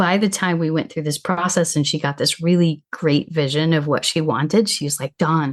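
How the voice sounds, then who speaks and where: Against a quiet background, a normal speaking voice goes at a moderate pace with fairly even intonation. There are hardly any pauses. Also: woman, fairly low pitch for a woman. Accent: American. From US Midwest. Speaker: travel coach. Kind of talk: podcast interview.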